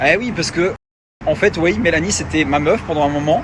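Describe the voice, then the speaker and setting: Pitch shifts in an ordinary way. The words come very fast. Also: man. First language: Luxembourgish (speaking French). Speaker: reality TV personality and influencer. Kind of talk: social media rant.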